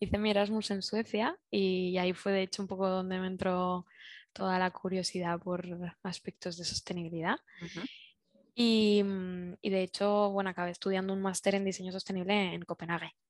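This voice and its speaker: Over a quiet background, a woman speaks at medium pitch and a moderate pace. Her intonation is monotone and flat, and the sound is dry and close with no echo. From Spain, Zaragoza. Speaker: industrial designer, circular economy consultant. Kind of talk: interview. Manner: halting.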